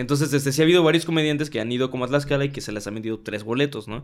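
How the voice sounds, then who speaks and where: A man talks at a very fast pace with a Mexican accent. His pitch varies in an ordinary way. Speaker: stand-up comedian. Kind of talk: casual chat.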